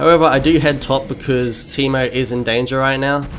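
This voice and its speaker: Music plays in the background as a man with a medium-pitched voice talks at a fairly quick pace. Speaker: gaming commentator. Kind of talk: gameplay commentary. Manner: fast; casual with frequent fillers.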